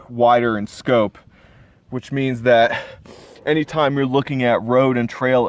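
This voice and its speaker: A man talks at a fairly slow pace and a medium pitch. Noticeable background noise sits behind him. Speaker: hiker. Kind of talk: casual talk to camera. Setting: outdoors.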